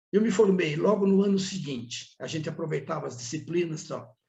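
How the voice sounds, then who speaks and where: Through audible room echo, a man's voice swings very widely in pitch. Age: 70s. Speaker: accounting professor. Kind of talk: podcast interview.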